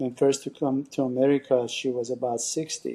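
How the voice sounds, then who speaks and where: A man with a Persian accent talks at a moderate pace in a dark, mellow, medium-pitched voice with flat, monotone intonation. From Iran. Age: 60s. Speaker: salon and med spa owner. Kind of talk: podcast interview. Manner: halting.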